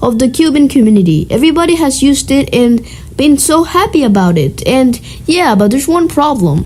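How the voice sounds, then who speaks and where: Noticeable background noise sits behind a woman whose high voice makes very wide pitch swings. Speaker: cubing YouTuber. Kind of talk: tutorial.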